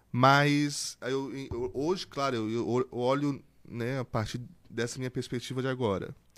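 In a plain, everyday voice, a man speaks at a fairly slow pace with a medium pitch and fairly even intonation over a very clean recording with a silent background. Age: 20s. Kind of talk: casual interview testimony.

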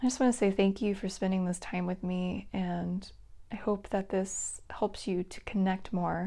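Somewhat breathy, with a dark, mellow tone and a gentle, calm tone, the voice keeps fairly even intonation on a very clean recording with a silent background. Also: woman, medium pitch for a woman. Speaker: Akashic Reiki practitioner and psychic. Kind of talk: guided meditation. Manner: slow, calm and soothing, with long pauses; gentle, hypnotic, repetitive cadence.

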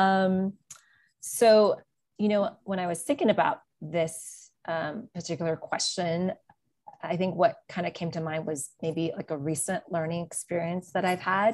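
A woman's normal speaking voice at a fairly slow pace, medium in pitch, with ordinary pitch variation. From US, moved around (LA suburbs, Atlanta, New York City). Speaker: mother of three sons. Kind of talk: casual chat. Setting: podcast recording.

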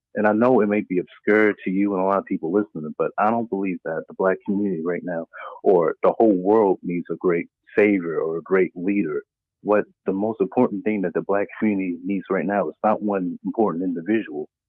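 A man with a plain, everyday voice speaks at a fairly quick pace and a fairly low pitch. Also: fairly even intonation. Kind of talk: call-in comment. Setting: phone call.

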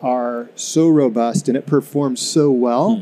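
Noticeable background noise accompanies a man speaking at a fairly slow pace with ordinary pitch variation. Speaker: anesthesiologist, medical officer. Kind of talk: interview.

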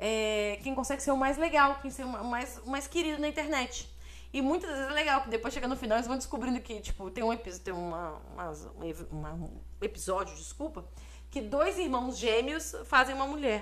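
A woman talks at a fairly quick pace in a Brazilian accent. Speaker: podcast co-host. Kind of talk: casual chat.

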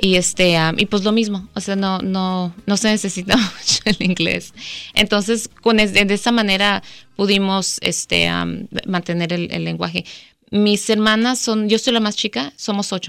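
The recording is very clean, with a silent background. A woman at a medium pitch speaks at a fairly slow pace with fairly even intonation. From Mexico, Guadalajara; raised in US from early childhood. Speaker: public defense lawyer. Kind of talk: radio interview. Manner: halting, many repetitions and fillers.

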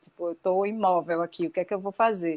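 The sound of this woman is dry and close with no echo, on a very clean recording with a silent background. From Recife, Pernambuco, Brazil. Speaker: performance artist. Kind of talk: interview. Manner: halting.

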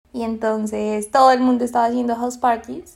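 Speech comes at a fairly quick pace. Its intonation is flat and monotone. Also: woman. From Colombia, Bogotá. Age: 20s. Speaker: psychologist and podcast co-host. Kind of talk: casual chat.

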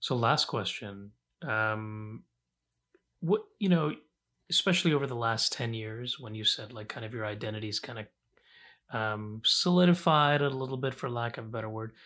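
In a very clean recording with a silent background, a man talks at a moderate pace in a bright, sharp tone at medium pitch, with ordinary pitch variation and long, frequent pauses. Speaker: podcast host and civil rights lawyer. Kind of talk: interview.

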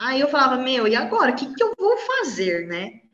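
High-pitched female speech ringing with audible room echo. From São Paulo, Brazil. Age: 30s. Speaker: university biology professor. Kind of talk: interview, casual chat.

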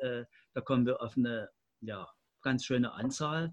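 Monotone and flat in intonation, a man speaks at a fairly slow pace. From Leipzig, eastern Germany. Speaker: community centre director. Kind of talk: radio panel discussion.

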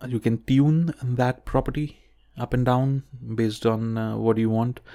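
A man mumbles at a moderate pace in a medium pitch, his tone dark and mellow, his intonation fairly even, and the sound dry and close with no echo. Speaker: podcast host and science communication student. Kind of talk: solo podcast monologue, unscripted. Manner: filler-heavy, mumbling, many ums and ahs.

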